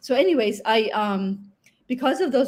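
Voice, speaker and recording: Fairly high-pitched and somewhat breathy, a woman's voice with ordinary pitch variation. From Finland. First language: Finnish. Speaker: online English teacher. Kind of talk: interview.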